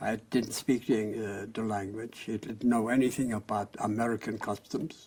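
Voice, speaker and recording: A speaker with a German accent talks at a moderate pace with hardly any pauses. The intonation stays monotone and flat. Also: man, medium pitch for a man. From Germany, near Frankfurt. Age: 80s+. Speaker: Holocaust survivor. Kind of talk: oral history interview.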